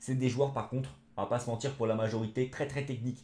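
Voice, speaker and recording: A man with a dark, mellow tone speaks very fast and somewhat breathily, with ordinary pitch variation. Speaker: football YouTuber. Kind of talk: football match debrief vlog. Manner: animated.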